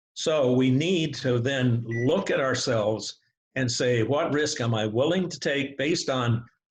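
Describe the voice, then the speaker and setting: A somewhat breathy man's voice, fairly high in pitch, at a fairly slow pace with ordinary pitch variation. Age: 80s+. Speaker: expert guest in a debate. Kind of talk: discussion / debate. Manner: animated.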